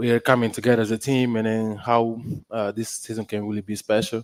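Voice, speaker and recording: With a Portuguese accent, a man talks at a fairly quick pace in a monotone, flat intonation, the sound dry and close with no echo. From Portuguese-speaking country. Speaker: college basketball player. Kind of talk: radio interview.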